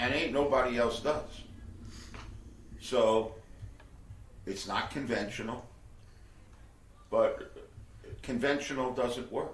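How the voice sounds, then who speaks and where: A man speaks at a very slow pace with long, frequent pauses. The room echo is audible. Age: 70s. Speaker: professor. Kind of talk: oral history interview. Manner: casual.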